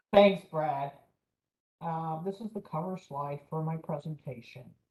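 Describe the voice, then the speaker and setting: Quiet and somewhat breathy, a woman talks at a fairly slow pace. Her pitch varies in an ordinary way. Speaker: navy small business official. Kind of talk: presentation. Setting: video call from home.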